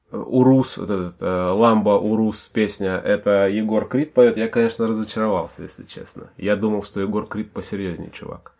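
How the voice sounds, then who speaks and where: Over a quiet background, the speaker uses an unremarkable speaking voice with ordinary pitch variation at a moderate pace. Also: man. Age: 30s. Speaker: podcast host, father discussing rap. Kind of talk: casual chat.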